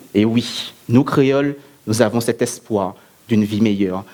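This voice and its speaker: Here a man talks at a very slow pace. He has a medium pitch with ordinary pitch variation. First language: Antillean Creole (alongside French) (speaking French). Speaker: eloquence contest speaker. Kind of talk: oratory speech. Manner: declamatory, rhetorical.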